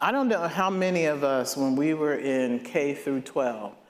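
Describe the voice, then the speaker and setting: Audible room echo around a man with a fairly high pitch and ordinary pitch variation. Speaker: nonprofit co-founder. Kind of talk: speech to audience. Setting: stage with audience. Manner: loud.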